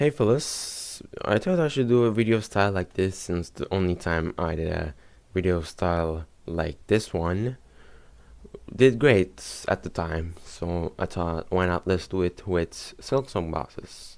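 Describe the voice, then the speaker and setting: Mumbling at a fairly slow pace, a man speaks with a very deep, low pitch. He has a non-native accent. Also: ordinary pitch variation. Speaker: gaming YouTuber. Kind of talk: casual gaming commentary.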